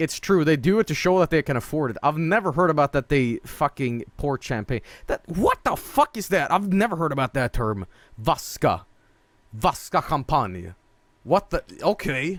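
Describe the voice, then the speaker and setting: An animated man with a fairly high voice swings very widely in pitch, showing vocal fry, in a dry, close recording with no echo. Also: moderate pace. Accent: Swedish. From northern Sweden. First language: Swedish. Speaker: streamer. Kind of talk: gameplay stream commentary.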